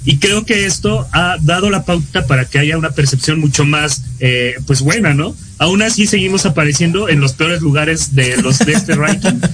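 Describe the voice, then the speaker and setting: Music plays in the background as a man speaks at a moderate pace and fairly high pitch, with hardly any pauses. His loudness stays very even, and his pitch variation is ordinary. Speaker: student podcast co-host. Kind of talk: casual political chat.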